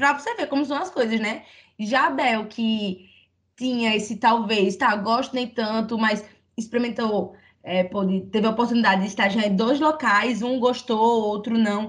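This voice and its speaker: A woman speaks at a fairly high pitch with ordinary pitch variation. Her voice is somewhat breathy, at a moderate pace. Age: 20s. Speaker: podcast host. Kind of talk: casual chat.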